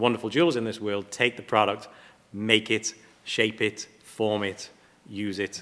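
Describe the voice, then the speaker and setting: With an English accent, the speaker moves at a moderate pace and keeps a fairly even intonation. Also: man. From England. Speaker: platinum refining company representative. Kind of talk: panel presentation.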